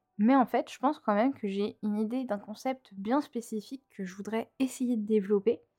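The voice has a dark, mellow tone, a moderate pace and ordinary pitch variation, with a dry, close sound and no echo. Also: woman. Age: 20s. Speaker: podcast host. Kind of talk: casual monologue. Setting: alone at home microphone. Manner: chatty, many fillers.

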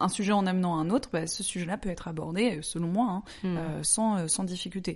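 A woman's medium-pitched, plain, everyday voice at a moderate pace with ordinary pitch variation. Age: 30s. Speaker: interviewee sharing personal experience. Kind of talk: personal testimony in interview.

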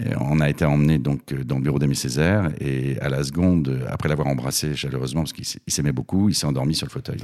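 Over noticeable background noise, a man with a very deep, low pitch talks at a very fast pace with ordinary pitch variation and hardly any pauses. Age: 50s. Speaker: theatre director. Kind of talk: casual interview.

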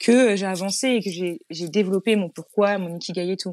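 A woman's unremarkable speaking voice, medium in pitch with ordinary pitch variation, on a very clean recording with a silent background and a dry, close sound with no echo. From Île-de-France, Yvelines. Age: 30s. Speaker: interior decorator and entrepreneur. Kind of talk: interview.

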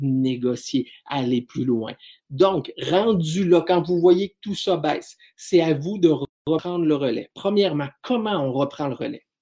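With a Quebec accent, a man talks fairly slowly in a fairly high voice, his tone dark and mellow and his pitch varying in an ordinary way. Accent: Québécois French. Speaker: business speaker and trainer. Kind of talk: solo podcast talk.

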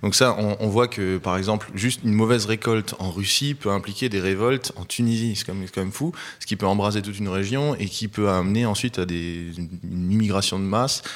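Here is a man with a fairly low pitch and ordinary pitch variation. He speaks at a fairly quick pace with hardly any pauses. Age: 20s. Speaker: author. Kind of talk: interview. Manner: halting.

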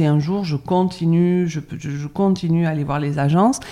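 Speaking very slowly, a woman has a very deep, low pitch and a dark, mellow tone. Her pitch variation is ordinary. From France, Bordeaux. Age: 50s. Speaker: cosmetics brand founder. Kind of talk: interview. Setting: spa.

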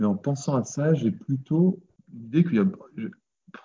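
Lively intonation in a man's somewhat breathy voice. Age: 30s. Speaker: farmer and former accountant. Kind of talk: casual interview.

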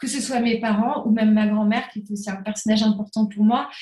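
Her voice somewhat breathy with a dark, mellow tone, a woman speaks at a fairly high pitch and a moderate pace. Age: 30s. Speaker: entrepreneur in the crafts sector. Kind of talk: interview.

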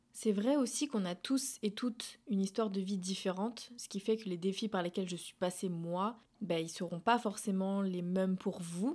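A normal speaking voice moves at a moderate pace with hardly any pauses and ordinary pitch variation, captured in a very clean recording with a silent background. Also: woman, medium pitch for a woman. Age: 20s. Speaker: podcaster. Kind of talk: personal monologue.

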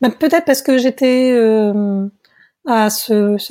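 This woman's voice has a dark, mellow tone at a fairly high pitch, with fairly even intonation, on a very clean recording with a silent background. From France, Tours area. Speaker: singer-songwriter. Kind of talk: interview. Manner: hesitant, many fillers.

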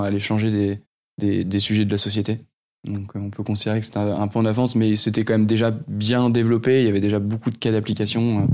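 A man speaks fairly quickly in a fairly low, monotone voice with flat intonation, on a very clean recording with a silent background. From northern France, near Lille. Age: 30s. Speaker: startup founder. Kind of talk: interview. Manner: halting, many repetitions.

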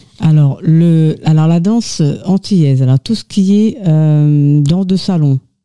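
A woman with a very deep, low pitch and a dark, mellow tone speaks at a fairly slow pace with ordinary pitch variation, the sound dry and close with no echo. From Mauritius. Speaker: dancer and association treasurer. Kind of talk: radio interview.

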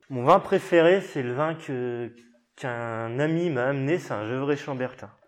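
Using ordinary pitch variation, a man talks at a fairly slow pace in a fairly high voice. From Burgundy, France (Mâconnais). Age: 20s. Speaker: winegrower. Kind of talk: casual interview.

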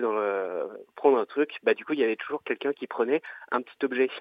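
His pitch sits in the medium range and varies in an ordinary way. The man uses a plain, everyday voice and talks fairly quickly. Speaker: caller. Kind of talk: casual chat. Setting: phone call.

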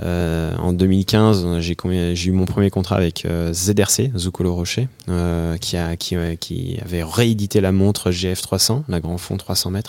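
Very slowly, a man with a very deep, low pitch talks with fairly even intonation. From Haute-Savoie, France. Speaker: professional freediver. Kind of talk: casual interview. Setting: outdoors above a lake. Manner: hesitant, many fillers.

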